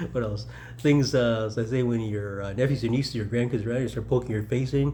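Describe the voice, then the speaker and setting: Audible room echo surrounds a man speaking at a very fast pace, his medium-pitched voice somewhat breathy and dark, mellow in tone, with fairly even intonation. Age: 60s. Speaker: mayoral candidate and military veteran. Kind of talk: casual personal reflection vlog. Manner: rambling, halting with fillers.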